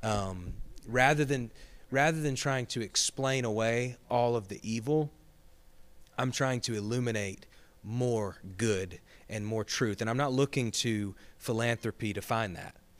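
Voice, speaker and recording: In a Southern US accent, the voice moves at a fairly slow pace with ordinary pitch variation on a very clean recording with a silent background. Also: man, medium pitch for a man. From Georgia, US South (Gainesville). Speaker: associate pastor. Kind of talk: casual chat.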